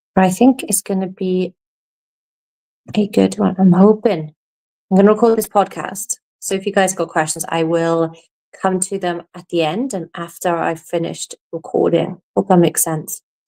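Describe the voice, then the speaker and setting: A dark, mellow tone with ordinary pitch variation in a dry, close sound with no echo. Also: woman, medium pitch for a woman, moderate pace. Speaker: podcast host and coach. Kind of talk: casual podcast monologue. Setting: live stream while recording podcast.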